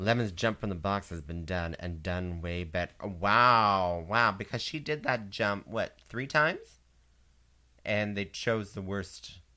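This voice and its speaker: Someone speaks at a very slow pace with a Canadian accent. The recording is very clean, with a silent background. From Canada. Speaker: podcast co-host. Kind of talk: casual chat. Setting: live-streamed podcast. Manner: halting.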